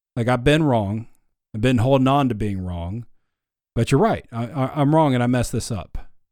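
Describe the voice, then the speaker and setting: In a very clean recording with a silent background, a man uses a normal speaking voice at medium pitch and a moderate pace, with ordinary pitch variation. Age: 30s. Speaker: podcast host. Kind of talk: casual chat.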